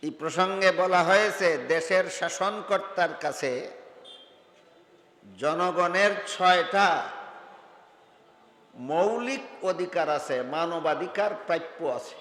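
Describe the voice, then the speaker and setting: Noticeable background noise beneath speech with typical pitch movement. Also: man, high pitch for a man. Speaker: Islamic scholar giving a religious sermon. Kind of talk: Bangla waz, public religious sermon.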